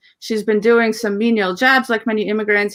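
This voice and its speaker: A woman talks at a fairly high pitch. The recording is very clean, with a silent background. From Ukraine (Russian-speaking, Soviet era). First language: Russian. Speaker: composer and lyricist. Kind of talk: interview. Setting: livestream.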